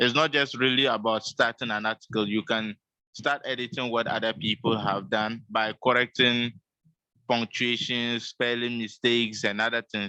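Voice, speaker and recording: A man talks at a moderate pace with medium pitch and fairly even intonation. His tone is bright and sharp, and the sound is dry and close with no echo. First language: Dagbani. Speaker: Wikipedia community trainer. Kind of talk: online meeting presentation.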